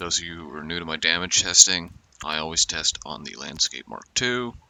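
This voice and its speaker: Over noticeable background noise, a man with a very deep, low pitch speaks in big swings of loudness. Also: ordinary pitch variation, moderate pace. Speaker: gaming video creator. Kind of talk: casual gameplay commentary.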